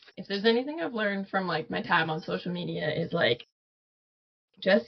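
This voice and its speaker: A woman speaks at a moderate pace in a medium pitch, her voice somewhat breathy. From western Canada, Vancouver. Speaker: photographer and artist. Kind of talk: casual interview chat.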